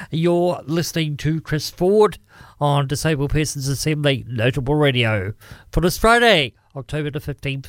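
A man with a New Zealand accent, fairly high pitch and lively intonation at a moderate pace, on a very clean recording with a silent background. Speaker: radio host. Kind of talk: radio DJ patter. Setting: studio. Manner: chatty, relaxed, informal.

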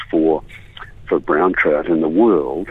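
This man's delivery is fairly slow. Behind his voice there is noticeable background noise. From New Zealand, Southland (Gore). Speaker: author and fly fisherman. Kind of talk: radio interview. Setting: phone call.

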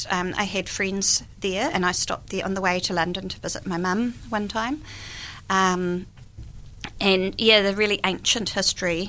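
A woman speaks with a New Zealand accent at a moderate pace. Her tone is bright and sharp. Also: medium pitch for a woman. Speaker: guest, author and volunteer. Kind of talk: casual interview chat. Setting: radio studio.

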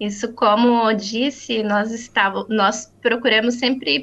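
The woman's voice is fairly high. She talks very slowly. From Brazil, Paraná (Maringá). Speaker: co-creator of a news portal for Brazilian immigrants. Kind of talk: interview.

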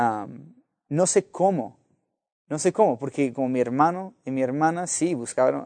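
Against a quiet background, a man with an American accent speaks very slowly in a dark, mellow tone. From US (Los Angeles). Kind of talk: interview testimony. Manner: halting, many repetitions and fillers.

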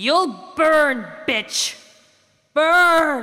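A high, female-sounding voice. It is a put-on character voice. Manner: menacing, building to a scream.

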